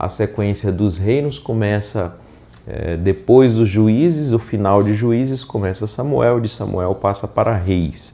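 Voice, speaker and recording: Soft-spoken and very slow, a man talks in a dark, mellow tone at a fairly low pitch with ordinary pitch variation. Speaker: pastor. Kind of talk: Bible reading with commentary. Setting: unusual location, not the usual studio.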